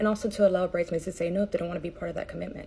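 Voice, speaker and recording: Racing at a very fast pace, a woman speaks with monotone, flat intonation. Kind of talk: casual vlog chat. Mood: earnest, explanatory. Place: home room. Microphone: phone near.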